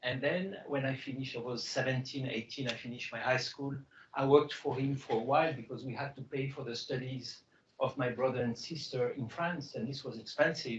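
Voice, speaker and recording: Fairly flat intonation from a man at a mid-range pitch. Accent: French. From Morocco (Casablanca). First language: French and Greek. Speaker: biotech CEO. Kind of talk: fireside chat.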